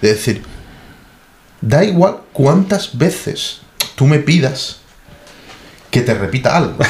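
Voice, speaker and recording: A man talks at a very slow pace with lively intonation and long, frequent pauses. Noticeable background noise runs underneath. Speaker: expat software professional. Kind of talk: casual chat. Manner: halting, many repetitions.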